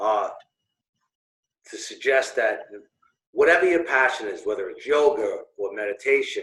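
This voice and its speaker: A man with a Brooklyn accent speaks at a moderate pace. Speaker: business owner and networking organizer. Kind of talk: interview. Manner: halting, many fillers.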